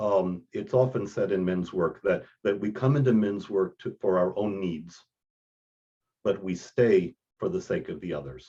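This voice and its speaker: A man with a plain, everyday voice and an American accent talks fairly slowly at a fairly low pitch, with ordinary pitch variation. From Texas. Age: 60s. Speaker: priest and men's mentor. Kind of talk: podcast interview.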